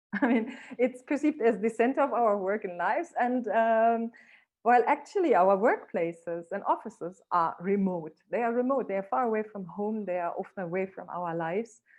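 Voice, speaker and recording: A woman speaks with a non-native accent. Her fairly high voice has lively intonation. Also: moderate pace. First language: not English. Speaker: keynote speaker. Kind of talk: online talk.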